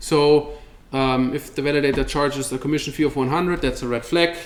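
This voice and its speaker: A man speaks at a fairly high pitch and a fairly quick pace. His pitch variation is ordinary. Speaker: crypto company representative giving a talk. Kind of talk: meetup presentation with Q&A. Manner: fast; casual, with many fillers and repetitions.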